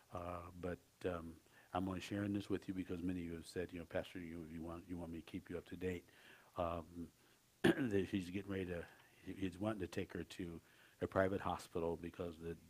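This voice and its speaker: A man's very deep, low voice, very fast and flat in a monotone. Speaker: pastor. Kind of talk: sermon announcement. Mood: concerned, earnest. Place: church. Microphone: headset.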